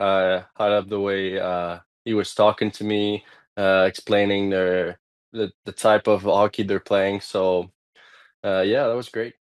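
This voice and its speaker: A man with a Quebec accent speaks at a fairly slow pace in a fairly low, monotone, flat voice, recorded dry and close with no echo against a quiet background. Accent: Québécois French-accented English. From Quebec, Canada. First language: French. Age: 20s. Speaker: ice hockey player. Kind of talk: interview. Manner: halting.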